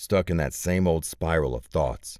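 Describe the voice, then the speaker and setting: Vocal fry marks this man's speech, delivered at a moderate pace in a very clean recording with a silent background. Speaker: audiobook narrator. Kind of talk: audiobook narration. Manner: first-person hard-boiled noir narration.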